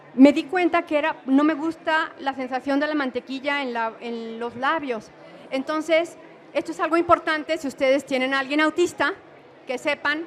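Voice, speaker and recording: A woman's high-pitched voice at a moderate pace with fairly even intonation. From Mexico. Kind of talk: conference talk.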